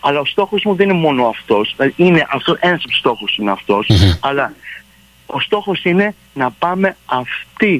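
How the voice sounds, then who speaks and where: His pitch swings very widely. The man's voice sits fairly high. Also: moderate pace. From Montreal, Canada. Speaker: theatre director. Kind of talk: radio interview.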